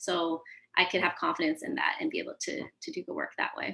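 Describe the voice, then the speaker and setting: The speaker talks at a very fast pace. Their pitch swings very widely. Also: woman. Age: young. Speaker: panelist, diversity workshop facilitator. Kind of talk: panel discussion.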